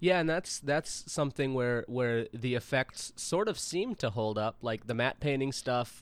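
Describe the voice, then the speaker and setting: This man has a normal speaking voice at a medium pitch. He talks with hardly any pauses. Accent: American. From US Midwest, St. Louis. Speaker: podcast guest. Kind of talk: casual chat. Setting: video call.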